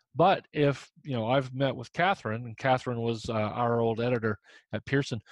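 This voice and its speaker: A man with a Midwestern US accent at a fairly quick pace, in a dry, close sound with no echo. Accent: US Midwest. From Indiana. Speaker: humor columnist and author. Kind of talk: casual interview.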